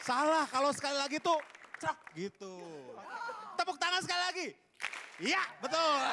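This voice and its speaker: Against crowd noise in the background, a man with a high pitch talks at a moderate pace with long, frequent pauses. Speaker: comedy show host. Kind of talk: hosting introductions. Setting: stage with audience. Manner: jokey, banter. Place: stage. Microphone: handheld.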